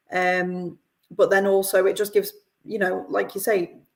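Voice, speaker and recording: A woman with a northern English accent. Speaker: company representative. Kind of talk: live podcast interview.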